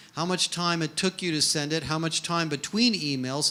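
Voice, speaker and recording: With an American accent, a man speaks at a moderate pace in a bright, sharp tone and a fairly high pitch. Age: 60s. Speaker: HR industry analyst. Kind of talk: conference keynote talk. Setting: stage with audience.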